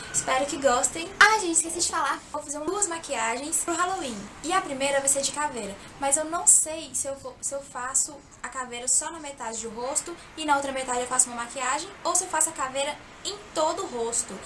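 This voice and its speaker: Over noticeable background noise, a woman uses a raised, projected voice at a high pitch with ordinary pitch variation. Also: fairly quick pace. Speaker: makeup youtuber. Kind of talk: makeup tutorial.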